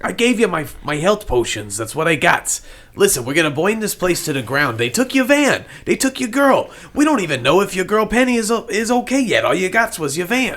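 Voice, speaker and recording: In a gruff, put-on character voice, a man speaks at a fairly quick pace and high pitch. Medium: actual play. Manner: folksy broken grammar, gruff.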